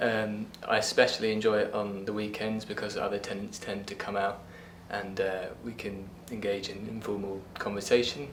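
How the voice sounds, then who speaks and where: Amid noticeable background noise and audible room echo, a man with a fairly low pitch speaks at a moderate pace in a monotone, flat intonation. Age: 70s. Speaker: retired resident. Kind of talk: resident interview.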